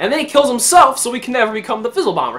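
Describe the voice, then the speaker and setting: A raised, projected voice comes through with a bright, sharp tone and lively intonation. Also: man. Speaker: movie reviewer. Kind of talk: casual movie review. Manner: fast; animated.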